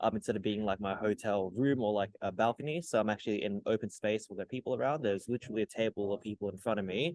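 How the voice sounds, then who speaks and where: A man talks at a very fast pace with an Australian accent and a fairly low pitch. The sound is dry and close, with no echo. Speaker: tutor. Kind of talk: tutorial. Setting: hotel lobby. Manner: soft-spoken; casual.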